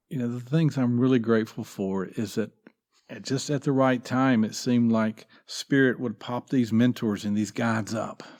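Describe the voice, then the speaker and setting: Speaking with a Southeastern US accent, a man keeps his intonation fairly even. The recording is very clean, with a silent background. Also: medium pitch for a man, moderate pace. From US South, North Carolina. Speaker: former minister. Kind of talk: podcast interview.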